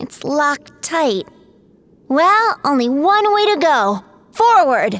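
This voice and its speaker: In a put-on character voice, someone speaks at a very slow pace and a high pitch, with very wide pitch swings and long, frequent pauses. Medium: video game.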